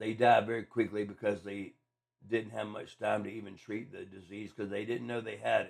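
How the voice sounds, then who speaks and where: A man talks in a fairly low pitch with vocal fry and monotone, flat intonation. His loudness swings widely. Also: moderate pace. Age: 50s. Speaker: podcast host with brain cancer. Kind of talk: casual monologue. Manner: slurred speech from medication at times; halting, many fillers and repeats.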